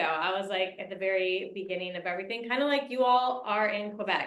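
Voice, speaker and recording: A woman speaks in an American accent at a moderate pace with a medium pitch. Her pitch varies in an ordinary way, and audible room echo is present. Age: 30s. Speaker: network marketing leader. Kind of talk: motivational talk.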